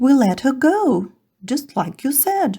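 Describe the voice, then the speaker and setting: In a put-on character voice, the speaker goes at a fairly slow pace with very wide pitch swings. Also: woman. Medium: read story.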